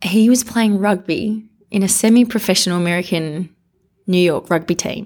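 In a very clean recording with a silent background, a woman with an Australian accent talks at a moderate pace, using a medium pitch and ordinary pitch variation. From Australia (Canberra). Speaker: real estate media executive. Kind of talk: interview conversation.

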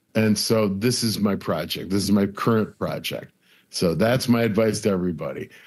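Speaking at a moderate pace with an American accent, a man has an unremarkable speaking voice. The recording is very clean, with a silent background. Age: 60s. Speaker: comedian and TV producer. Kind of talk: casual interview.

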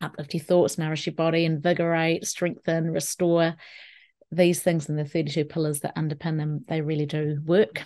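A woman with a New Zealand accent speaks at a moderate pace with fairly even intonation. Her fairly low voice has a dark, mellow tone against a quiet background. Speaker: wellbeing specialist and keynote speaker. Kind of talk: solo podcast talk.

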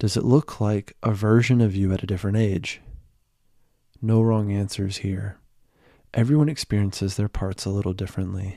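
A man with a gentle tone and a dark, mellow sound speaks at a fairly low pitch, his intonation fairly even and his pace moderate. Long, frequent pauses break up his speech on a very clean recording with a silent background. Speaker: meditation guide. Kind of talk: guided meditation. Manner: gentle, with long pauses.

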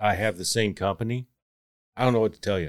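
In a very clean recording with a silent background and a dry, close sound free of echo, a man talks at a fairly low pitch with a Texan accent. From Texas. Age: 30s. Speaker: construction worker. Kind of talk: casual chat.

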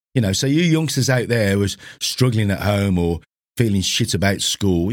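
A man with a British accent, fairly low in pitch, lively in intonation and moderate in pace, on a very clean recording with a silent background. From UK. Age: 60s. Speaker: gym owner and podcast host. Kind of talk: solo monologue podcast. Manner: informal, conversational, earnest.

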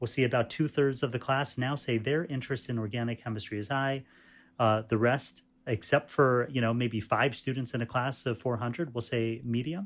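Over a very clean recording with a silent background, a man with a plain, everyday voice and an American accent speaks at a moderate pace with fairly even intonation. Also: medium pitch for a man. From US Northeast, New York State (Fishkill). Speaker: chemistry professor. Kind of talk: interview.

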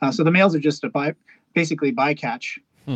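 In a dry, close sound with no echo, a man with a Canadian accent and a fairly high pitch talks at a fairly quick pace in an unremarkable speaking voice. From western Canada (British Columbia, Hornby Island). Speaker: ship captain and conservation campaigner. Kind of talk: casual interview. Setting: remote call from a ship.

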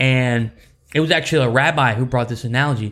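The man has a normal speaking voice of medium pitch, with fairly even intonation at a moderate pace, in a very clean recording with a silent background. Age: 30s. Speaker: church podcast co-host. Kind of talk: casual faith chat.

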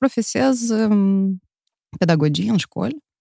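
With lively intonation and an unremarkable speaking voice, a woman at medium pitch talks at a moderate pace, in a dry, close sound with no echo. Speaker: entrepreneur, former radio broadcaster. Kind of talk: interview.

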